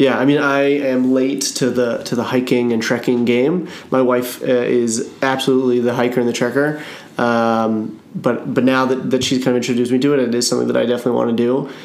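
A man speaks at a medium pitch in a flat monotone, his loudness very even. The pace is fairly quick, with noticeable background noise. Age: 30s. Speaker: podcast host. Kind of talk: casual interview.

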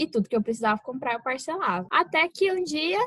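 Raised and projected, a woman's bright, sharp voice moves at a moderate pace with very wide pitch swings, in a dry, close sound with no echo. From Brazil, Mato Grosso do Sul. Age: 20s. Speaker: medical student, podcast co-host. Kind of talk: casual chat.

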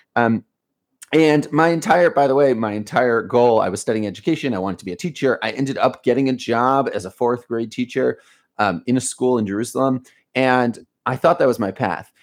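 An ordinary speaking voice from a man with an American accent, medium in pitch, with ordinary pitch variation at a fairly quick pace. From US, Baltimore. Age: 30s. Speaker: education company founder. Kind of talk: interview. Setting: video call.

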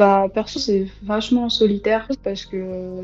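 A woman talks in a flat monotone at a medium pitch. Noticeable background noise runs under her voice. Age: young. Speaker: sociology student and writer. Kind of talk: casual chat.

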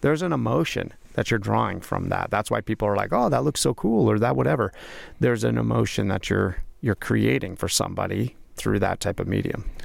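A man with a very deep, low voice and vocal fry speaks at a fairly quick pace. His pitch swings very widely while his loudness stays very even, on a very clean recording with a silent background. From Las Vegas, Nevada. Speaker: podcast host. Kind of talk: casual chat. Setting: studio.

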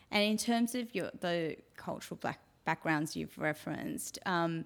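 Against a silent background in a very clean recording, a woman with an Australian accent speaks fairly slowly in a very deep, low pitch with vocal fry. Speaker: podcast host, stylist. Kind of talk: interview.

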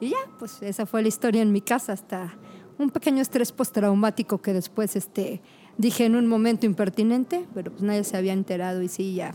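A woman's fairly high-pitched voice in a dark, mellow tone, at a fairly quick pace with ordinary pitch variation. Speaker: paramedic. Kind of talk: casual chat. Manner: animated.

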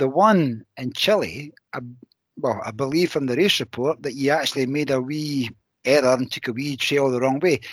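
A man with a Scottish accent speaks at a moderate pace, his pitch fairly high with ordinary pitch variation. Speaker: podcast co-host. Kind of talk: casual interview chat.

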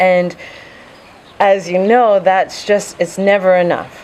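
You can hear noticeable noise in the background. Through it, a woman talks. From Vancouver, Canada. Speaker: intuitive coach. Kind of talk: casual interview.

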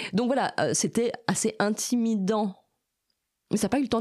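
A woman speaks at a fairly quick pace. The recording is very clean, with a silent background. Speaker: animal sanctuary volunteer. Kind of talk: interview. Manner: loud.

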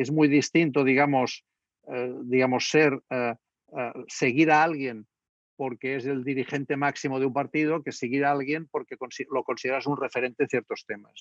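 A man's fairly high-pitched voice, flat and monotone, with big swings in loudness and a dry, close sound with no echo. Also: moderate pace. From Spain. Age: 60s. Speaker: political scientist. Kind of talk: lecture. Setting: video call. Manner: halting.

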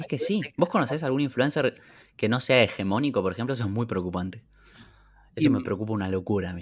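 Talking at a very fast pace, a man with a medium-pitched voice uses lively intonation. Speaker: podcast co-host. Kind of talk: casual chat. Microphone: new microphone.

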